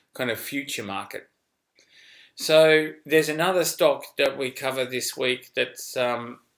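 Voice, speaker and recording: A bright, sharp tone comes with an Australian accent, at a moderate pace with ordinary pitch variation. The recording is very clean, with a silent background. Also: man. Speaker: finance newsletter editor. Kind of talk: casual investment commentary video. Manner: animated.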